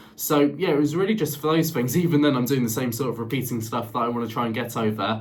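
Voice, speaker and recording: A man with lively intonation, plus audible room echo and noticeable background noise. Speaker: vlogger. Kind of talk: casual vlog talk. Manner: halting, repeats words and fillers.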